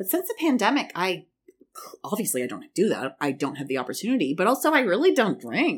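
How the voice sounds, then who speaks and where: A woman speaks in an animated tone at medium pitch, with vocal fry. Her pitch swings very wide. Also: fairly quick pace. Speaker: podcast host. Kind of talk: casual solo commentary. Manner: loud.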